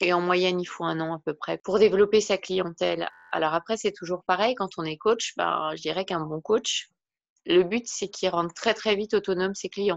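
Here is a woman with an ordinary speaking voice. She talks at a moderate pace with fairly even intonation. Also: medium pitch for a woman. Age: 40s. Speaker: wellbeing and personal development coach. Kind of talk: interview.

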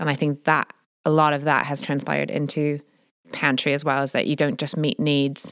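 A woman's very deep, low voice in an American accent, with monotone, flat intonation. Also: moderate pace. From US Midwest, Chicago. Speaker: church food pantry coordinator. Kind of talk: casual interview.

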